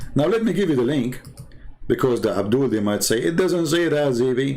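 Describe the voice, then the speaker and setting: In a room with audible echo, a man talks at a fairly quick pace with very even loudness and very wide pitch swings. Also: medium pitch for a man. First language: Arabic. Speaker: religious debater. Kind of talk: live stream commentary. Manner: animated.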